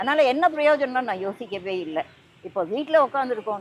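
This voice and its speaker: A woman's fairly high voice with very wide pitch swings, set against noticeable background noise. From Tamil Nadu, India. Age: 70s. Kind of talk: interview answer.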